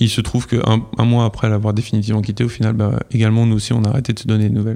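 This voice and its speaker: Dark and mellow in tone, a man speaks at a medium pitch with monotone, flat intonation. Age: 30s. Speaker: podcast guest sharing love story. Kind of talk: casual interview, personal testimony.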